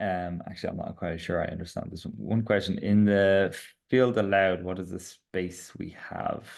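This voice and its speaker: A man with a strong Irish accent and a very deep, low pitch speaks with fairly even intonation. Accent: Irish, strong (self-described). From Ireland. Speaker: startup founder and CEO presenting product updates. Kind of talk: product webinar with Q&A. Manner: fast.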